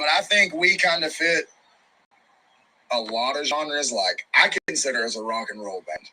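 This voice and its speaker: A man speaks at a moderate pace with lively intonation, broken up by long, frequent pauses. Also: fairly high pitch for a man. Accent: strong Southern. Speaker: rock band musician. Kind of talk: casual interview. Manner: casual, profane.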